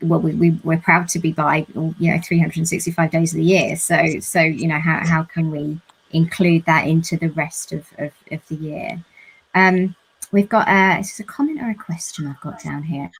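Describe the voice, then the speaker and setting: A woman speaks at a moderate pace in a fairly low, somewhat breathy voice. Her intonation stays fairly even. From London, southern England. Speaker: panel moderator. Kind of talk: live panel discussion. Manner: hesitant, repeats words.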